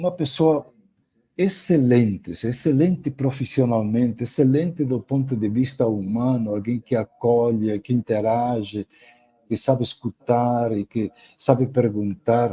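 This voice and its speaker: The sound is dry and close with no echo as a man talks at a fairly slow pace. His medium-pitched voice is dark, mellow and somewhat breathy, with ordinary pitch variation. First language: Spanish (speaking Portuguese). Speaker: professor. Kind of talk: lecture. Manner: halting, with repetitions and fillers.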